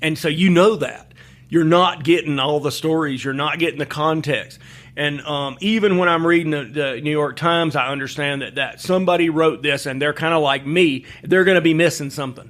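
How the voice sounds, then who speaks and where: Talking at a fairly quick pace in a Southern US accent, a man uses a fairly high pitch and fairly even intonation. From Alabama. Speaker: journalist and writer. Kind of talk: interview answer.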